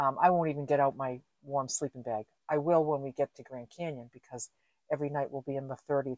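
A woman speaks at a fairly quick pace, the sound dry with no echo and the background quiet. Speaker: van-life vlogger. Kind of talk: casual vlog chat. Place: car. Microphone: camera far.

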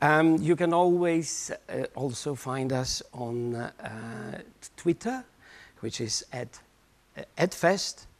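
At a very slow pace with long, frequent pauses, a man speaks in a fairly high pitch with lively intonation. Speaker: festival show host. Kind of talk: live show hosting. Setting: stage with audience. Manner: halting, many fillers. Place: stage. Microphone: lapel.

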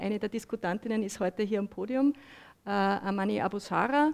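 A woman with a fairly high pitch speaks at a moderate pace with ordinary pitch variation, an unremarkable speaking voice. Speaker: moderator, journalist. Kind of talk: panel moderation. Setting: stage with audience. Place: meeting room. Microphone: headset.

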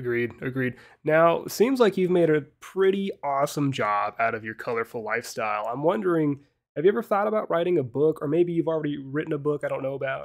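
Over a quiet background, a man talks at a fairly quick pace. His pitch is fairly high and his intonation lively. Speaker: podcast co-host. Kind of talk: casual chat. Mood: playful, light-hearted. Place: home room. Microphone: video call.

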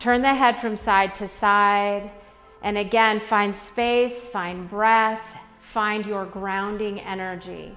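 Very slow, monotone speech from a woman, flat in intonation, with faint music in the background. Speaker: yoga instructor. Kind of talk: class instruction. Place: gym.

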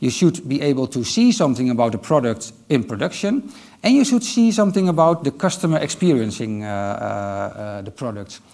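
In a Dutch accent, the speaker's pitch swings very widely against a quiet background. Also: man. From Netherlands. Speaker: IT manager; conference speaker. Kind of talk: conference talk. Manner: hesitant, many filler sounds. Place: stage. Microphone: headset.

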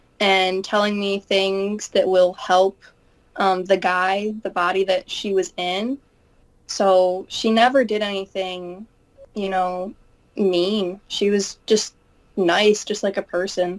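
A woman's very slow delivery keeps a monotone, flat intonation. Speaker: channel host interviewing a guest. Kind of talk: casual interview conversation. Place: home room. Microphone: webcam.

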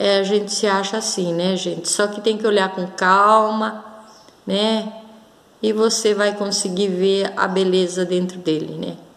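Here a woman talks at a fairly slow pace. Her intonation is monotone and flat. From Brazil. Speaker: crystal and gemstone video blogger; gemstone video blogger. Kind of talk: casual show-and-tell vlog; casual vlog chat. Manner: hesitant, many fillers. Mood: warm, grateful, calm. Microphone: phone near.

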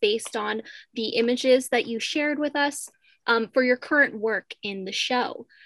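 In a raised, projected voice with a bright, sharp tone, a woman speaks at a high pitch and moderate pace. Her pitch varies in an ordinary way against a quiet background. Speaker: panel moderator, art history student. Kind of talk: panel discussion. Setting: pre-recorded panel. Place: home room. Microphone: video call.

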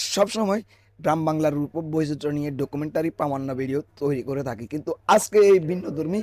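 A man's voice, with fairly even intonation, comes across dry and close with no echo. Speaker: YouTube vlogger. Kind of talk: vlog narration over event footage. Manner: halting.

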